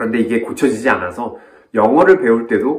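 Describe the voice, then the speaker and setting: His pitch swings very widely from moment to moment. The man keeps up a fairly quick pace. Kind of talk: reflective video talk. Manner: fast; clear pronunciation.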